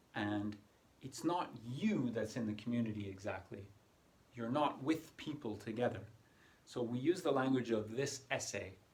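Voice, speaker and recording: At a moderate pace, a man speaks in a normal speaking voice with a North American accent, a medium pitch and ordinary pitch variation. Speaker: English exam tutor. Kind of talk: tutorial.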